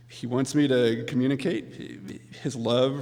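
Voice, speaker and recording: Speech at a very slow pace with fairly even intonation comes through audible room echo and noticeable background noise. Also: man. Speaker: accepting award on author's behalf. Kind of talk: award acceptance speech. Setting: stage with audience. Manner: halting.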